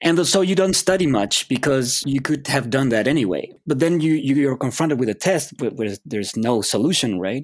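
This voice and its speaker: At a moderate pace, a man with a Spanish accent speaks at a medium pitch with lively intonation. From Chile. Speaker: psychology professor. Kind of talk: interview.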